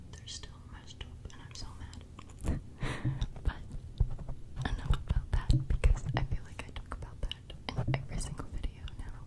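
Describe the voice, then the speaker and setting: Whispering from a woman, fairly slow in pace. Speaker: ASMR creator. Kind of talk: soft whispered ASMR chat. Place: home room. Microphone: studio mic.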